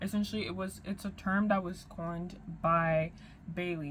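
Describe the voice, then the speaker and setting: A woman speaks at a medium pitch with fairly even intonation and a somewhat breathy quality. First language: French. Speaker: YouTuber. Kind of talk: commentary vlog. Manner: halting, with fillers and repetitions. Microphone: no external mic today, built-in mic.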